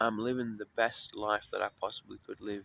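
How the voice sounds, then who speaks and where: A man with an Australian accent at a moderate pace, in a dry, close sound with no echo. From Australia, Sydney (North Mead). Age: 30s. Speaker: homeless musician vlogger. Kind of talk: casual personal vlog monologue. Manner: rambling, hesitant with fillers.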